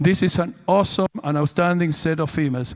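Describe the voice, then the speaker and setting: A man speaks with a Spanish accent and fairly even intonation. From Argentina. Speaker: livestock show judge. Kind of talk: judge's reasons at a cattle show. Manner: halting, with repeated words.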